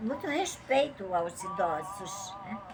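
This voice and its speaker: With a Brazilian accent, a woman speaks with lively intonation. Music plays behind her. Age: 70s. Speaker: Bible teacher. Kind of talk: religious teaching talk. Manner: conversational.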